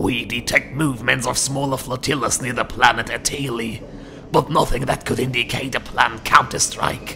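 A man's put-on character voice at medium pitch and a moderate pace, with clear background noise. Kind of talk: dramatic acted dialogue. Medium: audio drama. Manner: formal, deferential. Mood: matter-of-fact.

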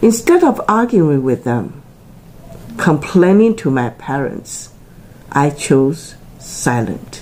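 The speech moves at a very slow pace with long, frequent pauses and very wide pitch swings over light background noise. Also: woman, very deep, low pitch for a woman. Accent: Taiwanese. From Taiwan. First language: Chinese. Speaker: tea channel presenter; presenter. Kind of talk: personal motivational talk to camera. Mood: earnest, encouraging. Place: home room. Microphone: phone near.

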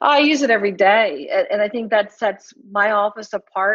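A woman with a medium pitch talks at a moderate pace in an ordinary speaking voice. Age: 40s. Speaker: chiropractor. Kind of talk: casual interview.

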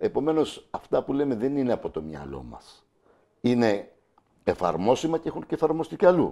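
Loudness swings widely as a male voice proceeds at a moderate pace, broken by long, frequent pauses. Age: 50s. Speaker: local election candidate and teacher; election candidate, teacher. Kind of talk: TV interview. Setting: TV studio. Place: studio. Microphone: lapel.

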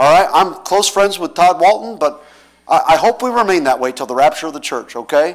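Talking at a very fast pace, a man with a high pitch is heard against a quiet background. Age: 40s. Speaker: pastor. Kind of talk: sermon. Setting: church. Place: church.

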